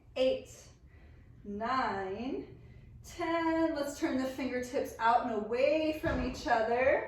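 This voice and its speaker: Her pitch high and varying in an ordinary way, a woman speaks with audible room echo. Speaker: yoga teacher. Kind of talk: guided yoga class instruction.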